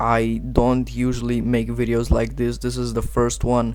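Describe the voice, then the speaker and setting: A man speaks at a moderate pace. Room echo is audible around his voice. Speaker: gaming youtuber. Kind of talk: unscripted video commentary. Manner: halting, stuttering.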